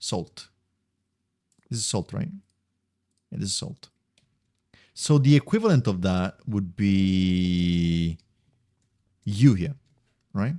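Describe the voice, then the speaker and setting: With an Italian accent, a man speaks at a fairly slow pace with long, frequent pauses, his fairly low, dark, mellow voice making very wide pitch swings in a dry, close sound with no echo. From Italy. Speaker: video game streamer. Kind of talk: casual live-stream commentary. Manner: occasionally stumbling over words.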